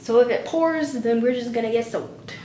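A woman at a fairly quick pace with ordinary pitch variation, audible room echo and light background noise. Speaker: vlogger. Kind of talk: casual vlog chat. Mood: upbeat, slightly relieved. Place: bathroom. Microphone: phone near.

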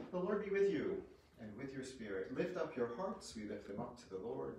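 With audible room echo and light background noise, a man talks at a medium pitch and a moderate pace. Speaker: priest. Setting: church, parish Mass. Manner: formal, measured, reverent liturgical cadence in prayers; conversational homily. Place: home room. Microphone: camera far.

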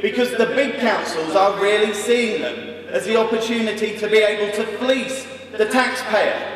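A man speaks at a moderate pace in an extremely high pitch with fairly even intonation, and audible echo fills the room. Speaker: local councillor addressing party conference. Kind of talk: political speech. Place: hall. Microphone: podium.

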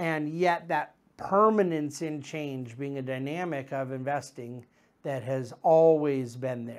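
Over a quiet background, a man speaks very slowly at a fairly high pitch. His pitch variation is ordinary. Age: 40s. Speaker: investment manager hosting a market commentary show. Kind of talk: solo market commentary monologue. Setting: studio. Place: office. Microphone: lapel.

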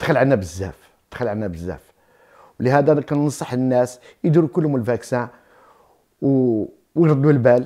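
A man speaks with a dark, mellow tone and lively intonation at a moderate pace. He leaves long, frequent pauses against a quiet background. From Morocco, Tiflet, Souss roots; Morocco. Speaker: shop owner. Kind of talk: interview. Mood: warm, cheerful.

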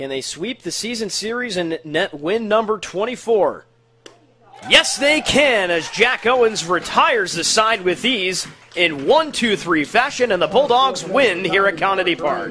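A man with an American accent speaks in a raised, projected voice, high for a man, with lively intonation at a fairly slow pace over light background noise. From United States. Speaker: play-by-play sports announcer. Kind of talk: live baseball play-by-play broadcast call. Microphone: headset.

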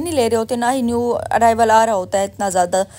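A woman speaks with ordinary pitch variation. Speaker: mom vlogger. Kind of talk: voice-over narration. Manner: casual, chatty.

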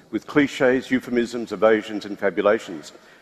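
The man's delivery moves at a moderate pace. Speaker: panel moderator. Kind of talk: event introduction and reading aloud. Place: stage.

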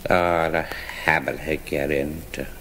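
A man's very deep, low voice at a very slow pace. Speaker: author reading own work. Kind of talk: spoken-word fable reading. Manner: slurred, hard to follow.

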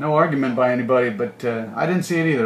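A man with a fairly high pitch talks very fast, with audible room echo and light background noise. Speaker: baseball broadcaster. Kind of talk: live sports commentary. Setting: press box, air-conditioned. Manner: casual, conversational play-by-play with filler words and light humor. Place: stadium. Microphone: phone near.

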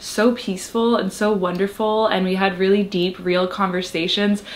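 Delivered at a fairly quick pace, the speech keeps a fairly even intonation. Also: woman. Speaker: lifestyle vlogger. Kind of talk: casual vlog chat. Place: home room. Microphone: camera far.

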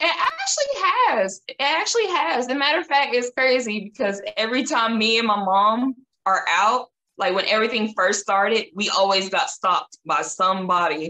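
In a Southern US accent, a woman with a fairly high pitch speaks at a moderate pace with lively intonation. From Tennessee. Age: 20s. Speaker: model; interview guest. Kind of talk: interview. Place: home room. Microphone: video call.

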